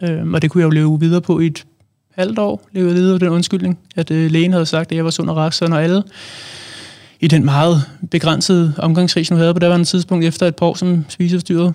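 The delivery is fairly quick and monotone, with flat intonation, a dark, mellow tone and very even loudness. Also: man, high pitch for a man. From Denmark, Allerød. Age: 20s. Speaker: author and public speaker. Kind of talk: personal testimony in interview. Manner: halting, many fillers.

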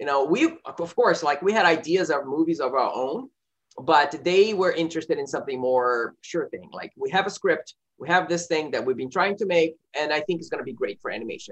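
In a Portuguese accent, a man with a high pitch speaks fairly quickly, with ordinary pitch variation and big swings in loudness. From Brazil, Rio de Janeiro. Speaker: film director. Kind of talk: interview. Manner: halting, many fillers.

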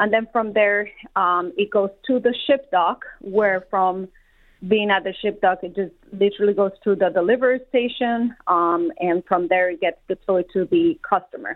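A woman speaks with a Spanish accent. Her voice sits at a medium pitch. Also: ordinary pitch variation, moderate pace. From Colombia. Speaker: warehouse manager. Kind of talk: interview.

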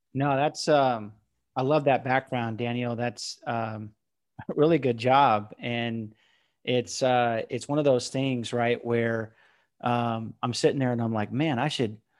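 Speaking with an American accent, a man uses a normal speaking voice at medium pitch with fairly even intonation. His pace is fairly slow, and the recording is very clean with a silent background. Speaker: podcast host. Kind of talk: interview.

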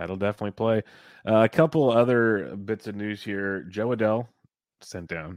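A man with a normal speaking voice talks at a moderate pace and fairly low pitch, with ordinary pitch variation and big swings in loudness. The sound is dry and close with no echo, against a quiet background. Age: 30s. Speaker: fantasy baseball podcast host. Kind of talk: casual chat.

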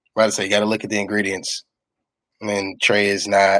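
A man speaks in a normal speaking voice at a fairly quick pace and a fairly low pitch, the sound dry and close with no echo. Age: 20s. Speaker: sports fan podcast guest. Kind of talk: casual chat.

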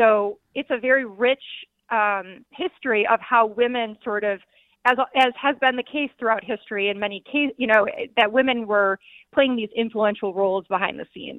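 Her voice fairly high, a woman talks at a moderate pace with ordinary pitch variation. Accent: American. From Detroit, Michigan. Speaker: former diplomat and company founder. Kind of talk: radio interview.

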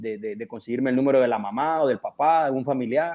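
Against a quiet background, an ordinary speaking voice talks with ordinary pitch variation. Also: man. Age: 30s. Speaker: professional footballer. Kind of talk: radio interview.

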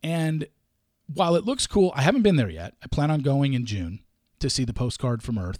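A man's fairly high-pitched, dark and mellow voice at a moderate pace, in a very clean recording with a silent background. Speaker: sports podcast host. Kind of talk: solo sports talk show with a ranting tirade. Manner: indignant, ranting, exasperated, complaining with sarcasm.

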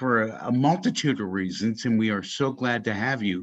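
Against a quiet background, a man with an unremarkable speaking voice talks at a moderate pace in a medium pitch with ordinary pitch variation. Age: middle-aged. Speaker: podcast host. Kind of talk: casual chat. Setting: video call.

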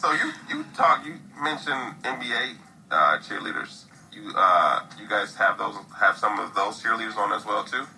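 Male speech in an American accent at a moderate pace, noticeable background noise behind it. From US Midwest. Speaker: podcast host. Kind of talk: casual interview.

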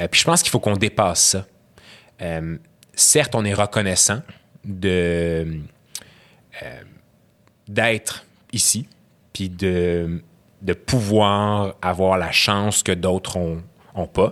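A man's very deep, low voice, very slow, with fairly even intonation and long, frequent pauses. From Quebec, Syrian parents. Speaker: guest, graduate student. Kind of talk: casual conversation, interview. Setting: studio.

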